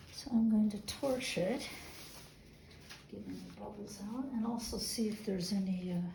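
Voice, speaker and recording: A woman's medium-pitched voice with fairly even intonation and long, frequent pauses amid noticeable background noise. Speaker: fluid artist. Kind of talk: casual talk to camera.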